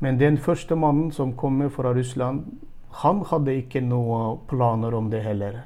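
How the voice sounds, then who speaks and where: Moving at a moderate pace, this voice carries a dark, mellow tone. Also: man, medium pitch for a man, ordinary pitch variation. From Turkmenistan. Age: 40s. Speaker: church leader, missionary. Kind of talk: interview. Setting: video call. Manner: halting.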